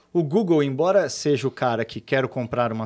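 This man has a plain, everyday voice at a medium pitch with ordinary pitch variation. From Brazil, São Paulo state (Cosmópolis). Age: 40s. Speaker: entrepreneur. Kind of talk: casual interview chat.

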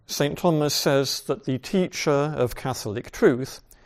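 The man has an unremarkable speaking voice with fairly high pitch. He talks at a fairly slow pace with ordinary pitch variation. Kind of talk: lecture. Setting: video call.

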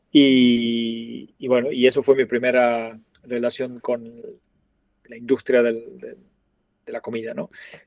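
A man with an Argentine accent, medium pitch, fairly even intonation, big swings in loudness, and very slow delivery broken by long, frequent pauses. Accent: Argentine, noticeable. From Argentina. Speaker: restaurant chain founder. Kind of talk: interview.

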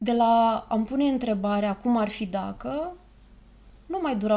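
A high-pitched woman's voice with a dark, mellow tone and ordinary pitch variation. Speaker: podcast host and therapist. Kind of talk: casual chat.

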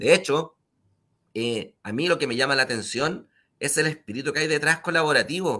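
A man with a bright, sharp tone and fairly high pitch speaks at a moderate pace with ordinary pitch variation on a very clean recording with a silent background. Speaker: show host. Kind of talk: interview.

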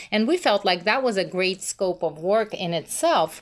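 Her pitch is medium, with ordinary variation. This woman, with a Russian accent, speaks at a moderate pace. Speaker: missions organization co-founder. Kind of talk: interview.

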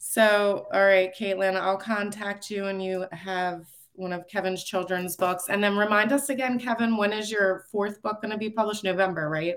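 A woman talks at a moderate pace and a medium pitch, with fairly even intonation. It is a normal speaking voice. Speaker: podcast co-host, communications professional. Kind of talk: casual interview.

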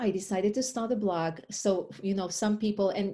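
With an Israeli accent, a woman speaks at a medium pitch and a moderate pace in a dark, mellow, somewhat breathy tone. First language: Hebrew. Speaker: life coach and author. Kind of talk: interview conversation.

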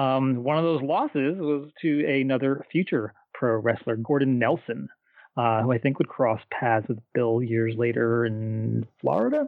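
A man with an ordinary speaking voice talks at a fairly slow pace and medium pitch. His pitch varies in an ordinary way, and his loudness stays very even. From US Northeast. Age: 50s. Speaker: wrestling podcast co-host. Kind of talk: casual chat.

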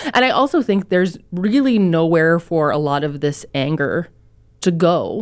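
A woman with a Canadian accent has a plain, everyday voice, fairly low in pitch, with lively intonation. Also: moderate pace. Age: 30s. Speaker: newspaper columnist, guest co-host. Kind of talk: casual chat. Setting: studio.

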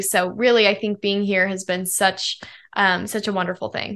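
A bright, sharp tone at a moderate pace, with an American accent over a quiet background. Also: woman. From Colorado. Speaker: pop singer-songwriter. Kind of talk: interview.

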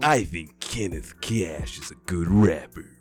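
A nasal, put-on character voice from a man, very deep and low, with very wide pitch swings at a fairly slow pace. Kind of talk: radio voice.

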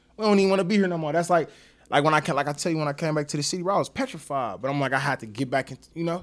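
Very fast speech from a man, fairly high in pitch and with ordinary pitch variation. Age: 30s. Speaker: guest, former street figure and father. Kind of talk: casual chat.

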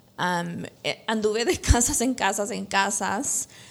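Mid-range pitch from a woman, her intonation fairly level. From El Salvador, moved to US at 13. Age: 30s. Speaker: insurance agent. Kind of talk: interview testimony. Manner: hesitant, many fillers.

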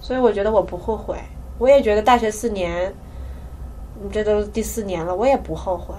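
Over noticeable background noise, a woman speaks at a fairly quick pace broken by long, frequent pauses. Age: 20s. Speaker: podcast co-host, university student. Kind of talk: casual chat.

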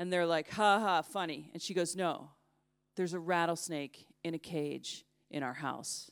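A woman with an American accent has an unremarkable speaking voice and fairly even intonation. The recording is very clean, with a silent background. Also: fairly low pitch for a woman, moderate pace. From United States. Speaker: journalist. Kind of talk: storytelling talk. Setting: stage with audience.

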